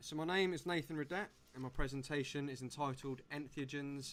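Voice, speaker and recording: At a moderate pace, a man with an English accent speaks with fairly even intonation and a fairly high pitch. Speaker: presenter. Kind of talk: presentation.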